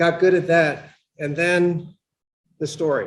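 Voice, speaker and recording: Mumbling in an American accent, a man speaks with fairly even intonation. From Pennsylvania. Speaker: law professor. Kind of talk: lecture. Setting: lecture hall with live and online audience. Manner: loud.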